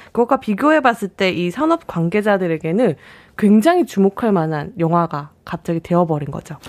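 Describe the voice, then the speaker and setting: Heard through a very clean recording with a silent background, the sound is dry and close, with no echo. A woman talks in an ordinary speaking voice at a moderate pace with lively intonation. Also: medium pitch for a woman. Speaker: film journalist. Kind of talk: radio film review discussion. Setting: radio studio.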